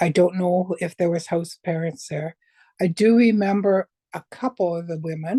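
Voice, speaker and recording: A woman speaks at a moderate pace with a fairly low, somewhat breathy voice and ordinary pitch variation, recorded with a dry, close sound and no echo. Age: 60s. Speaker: abuse survivor. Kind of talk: testimony.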